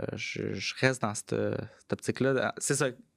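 Here is a man with an ordinary speaking voice. He talks at a moderate pace with fairly even intonation. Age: 20s. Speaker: tech entrepreneur. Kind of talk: casual interview. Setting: studio.

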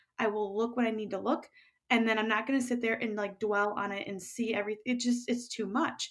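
A woman with an American accent has a normal speaking voice. She talks at a fairly quick pace with fairly even intonation. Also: fairly high pitch for a woman. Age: 30s. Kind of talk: casual interview.

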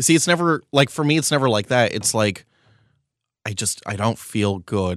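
Lively in intonation, a man with an ordinary speaking voice talks at medium pitch and moderate pace in a very clean recording with a silent background. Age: 20s. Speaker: podcast co-host. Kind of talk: casual chat.

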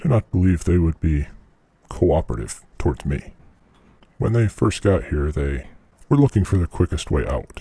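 The delivery moves at a moderate pace, broken by long, frequent pauses. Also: man, very deep, low pitch for a man. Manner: stiff, halting formal.

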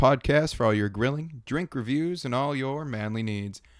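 Recorded very cleanly against a silent background, a plain, everyday voice moves at a moderate pace with ordinary pitch variation. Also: man. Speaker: podcast host. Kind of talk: casual banter, food review. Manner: jokey, relaxed.

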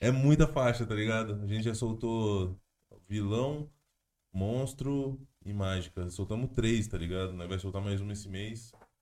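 With a dark, mellow tone and a fairly low pitch, a man speaks at a fairly slow pace with ordinary pitch variation. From interior of São Paulo state, Brazil (Jundiaí). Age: 20s. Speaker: rapper. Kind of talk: casual chat.

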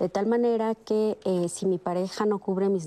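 A woman with a plain, everyday voice at a moderate pace and fairly even intonation. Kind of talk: panel discussion.

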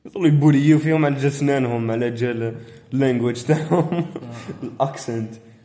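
A man talks at a moderate pace in a fairly high pitch, his intonation fairly even. Audible room echo and noticeable background noise surround him. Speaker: podcast co-host. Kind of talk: casual chat.

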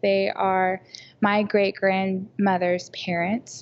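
A woman speaks in a normal speaking voice with an American accent and a medium pitch. Her pace is fairly slow and her intonation fairly even. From Oklahoma City. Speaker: business owner and musician. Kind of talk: casual interview chat.

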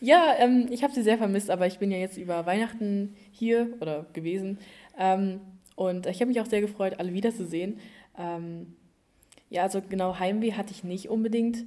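This woman's voice has a dark, mellow tone and medium pitch. She speaks at a moderate pace with ordinary pitch variation. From Germany, East Westphalia. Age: young. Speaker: au pair. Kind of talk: casual chat.

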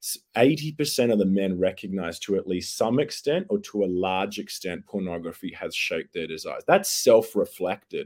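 Barely pausing at all, a man speaks at a moderate pace with an Australian accent. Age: 30s. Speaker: youth advocate and educator. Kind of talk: serious interview discussion. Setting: video call.

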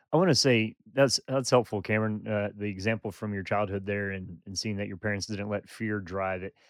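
A man talks at a fairly quick pace with hardly any pauses and fairly even intonation. The sound is dry and close with no echo, on a very clean recording with a silent background. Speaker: podcast co-host. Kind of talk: casual conversational discussion.

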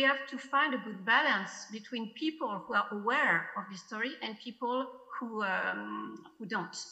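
Speaking with a French accent, a woman uses a high pitch and ordinary pitch variation at a fairly slow pace, with noticeable background noise behind her. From France. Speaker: film editor. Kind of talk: festival Q&A. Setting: video call. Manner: halting.

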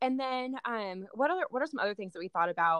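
A woman talks at a very fast pace in a West Coast accent with lively intonation. The sound is dry and close with no echo, over a quiet background. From Oregon, US Pacific Northwest (Salem). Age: 20s. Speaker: nurse and business owner. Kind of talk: interview. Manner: casual, laughing often.

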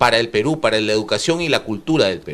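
Vocal fry runs through this man's voice. His pitch swings very widely. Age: 40s. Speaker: TV host. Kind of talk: TV interview show.

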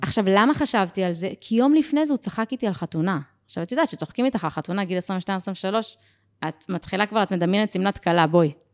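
In a dry, close recording with no echo and a silent background, a woman speaks very fast with an energetic tone and lively intonation. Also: medium pitch for a woman. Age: 30s. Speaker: business and life coach. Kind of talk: podcast interview.

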